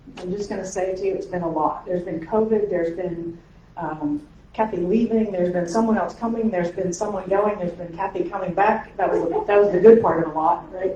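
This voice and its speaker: Amid noticeable background noise and audible room echo, a woman with a medium pitch talks at a fairly quick pace. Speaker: pastor and council president. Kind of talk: meeting welcome address. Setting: in-person meeting in church space, audience present. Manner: fast when excited.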